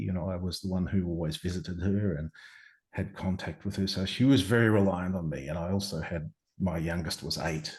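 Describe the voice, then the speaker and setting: Somewhat breathy and at a fairly quick pace, the speaker talks in an Australian accent with ordinary pitch variation against a quiet background. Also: man. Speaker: near-death experiencer. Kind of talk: interview answer.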